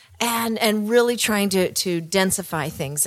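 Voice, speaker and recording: At a moderate pace, a woman talks with a Western Canadian accent. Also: very clean recording, silent background. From Canada, Kelowna, British Columbia. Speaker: real estate agent, podcast co-host. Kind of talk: casual chat.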